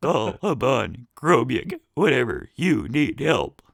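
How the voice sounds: In a put-on, robotic character voice, a man speaks at a fairly slow pace. His pitch is fairly high.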